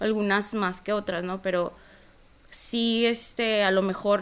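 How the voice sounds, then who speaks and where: Woman at a medium pitch, very slow, with monotone, flat intonation. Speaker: psychologist and activist. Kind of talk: interview.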